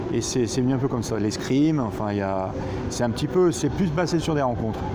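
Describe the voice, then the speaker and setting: A man's medium-pitched voice with lively intonation at a fairly quick pace, amid audible room echo and noticeable background noise. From central France (Roanne, Loire). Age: 40s. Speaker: stuntman and horse trainer. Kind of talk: interview. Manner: hesitant, many fillers.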